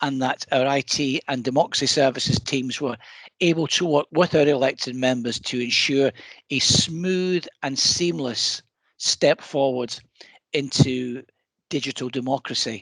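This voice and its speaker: In a Scottish accent, a man speaks at a fairly slow pace and a fairly high pitch, with ordinary pitch variation and a dry, close sound with no echo. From Scotland. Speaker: council executive. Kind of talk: scripted presentation.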